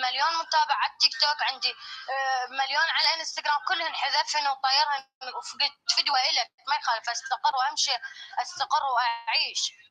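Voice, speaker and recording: Amid noticeable background noise, a woman with an Iraqi accent uses a raised, projected voice at a high pitch and a fairly quick pace. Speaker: caller sharing a personal story. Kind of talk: testimony. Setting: live stream.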